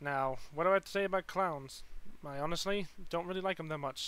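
A man with a high pitch, in a dry sound with no echo. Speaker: reaction video creator. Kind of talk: casual vlog chat. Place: home room. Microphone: headset.

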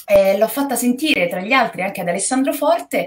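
A woman's voice at a fairly quick pace, with very wide pitch swings. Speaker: guest actress. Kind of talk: interview answer. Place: home room.

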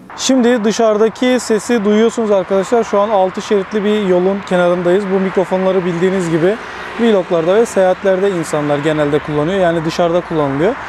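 Noticeable background noise sits behind a man with a high voice and ordinary pitch variation. He talks at a fairly quick pace with very even loudness and hardly any pauses. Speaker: tech reviewer and photographer. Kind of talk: product review tutorial. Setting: outdoors by a six-lane road.

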